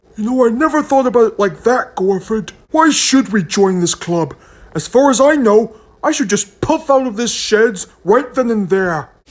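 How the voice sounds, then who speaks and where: In a put-on character voice, the speaker talks at a moderate pace with fairly high pitch. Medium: read story.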